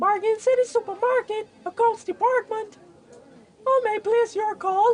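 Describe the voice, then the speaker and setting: A squeaky, put-on character voice at an extremely high pitch, delivered at a moderate pace. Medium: comedy sketch. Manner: formal phone politeness.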